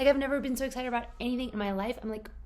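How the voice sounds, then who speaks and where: An animated, high-pitched woman amid audible room echo and noticeable background noise. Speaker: book vlogger. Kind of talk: casual vlog chat.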